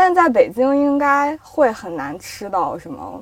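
Noticeable background noise sits behind a woman's high-pitched voice, which makes very wide pitch swings. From Yinchuan, northwest China. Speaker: editor. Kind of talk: casual chat.

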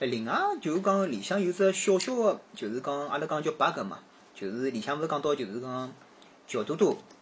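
A man speaks at a moderate pace in a fairly high pitch. His voice is somewhat breathy, and his pitch swings very widely. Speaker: podcast guest. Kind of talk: casual chat.

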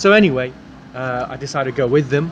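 At a fairly quick pace, a man talks in a medium pitch over noticeable background noise. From England, King's Lynn, Norfolk. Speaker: mock exam candidate, native speaker. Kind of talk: mock speaking exam answers. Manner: hesitant, many fillers.

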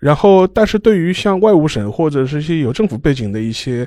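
An ordinary speaking voice from a man at a fairly quick pace, with lively intonation. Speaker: historian and archivist. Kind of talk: casual discussion.

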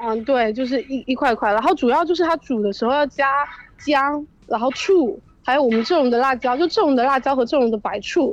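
A woman speaks at a high pitch and a fairly quick pace. Her intonation is lively, and her loudness stays very even. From Ningde, Fujian, China. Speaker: listener caller. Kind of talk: casual phone chat. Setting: phone call.

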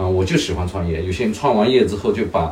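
There is noticeable background noise and audible room echo as a man talks with ordinary pitch variation. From rural China. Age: 50s. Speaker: parent and business owner. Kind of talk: casual chat. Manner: hesitant, many fillers.

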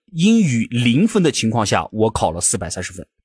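With very wide pitch swings, a man speaks at a moderate speed. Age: 30s. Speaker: podcast co-host. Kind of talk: casual chat.

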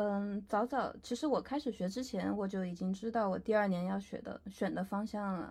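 In a very clean recording with a silent background, a woman speaks at a moderate pace in a somewhat breathy voice with ordinary pitch variation. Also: medium pitch for a woman. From Chengdu, Sichuan, China. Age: 20s. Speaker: fashion photographer. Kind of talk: casual interview.

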